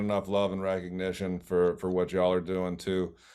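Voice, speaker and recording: On a very clean recording with a silent background, a man with a Texan accent speaks at a very deep, low pitch. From Texas (Wichita Falls). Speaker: college throws coach. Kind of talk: podcast interview.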